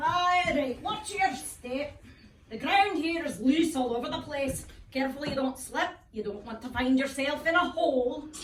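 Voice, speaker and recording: Putting on a gruff character voice, a woman talks at a moderate pace in a high pitch with lively intonation and slight echo. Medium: stage play. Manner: chuckling, gruff.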